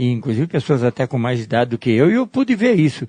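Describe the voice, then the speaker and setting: A man with a dark, mellow voice talks at a fairly quick pace. His intonation is lively, and the sound is dry and close with no echo. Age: 70s. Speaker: interviewee, local cyclist. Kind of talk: interview. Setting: home garage.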